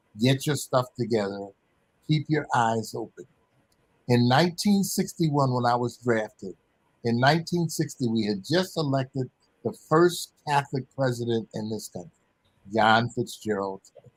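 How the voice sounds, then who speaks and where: A man with an American accent speaks at a moderate pace, his voice somewhat breathy and medium in pitch. His intonation is lively, and the sound is dry and close with no echo. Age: 80s+. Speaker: former professional basketball player. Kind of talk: interview.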